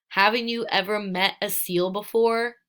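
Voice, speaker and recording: Putting on a gruff character voice, a woman speaks at medium pitch and a moderate pace in a flat monotone. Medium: read story.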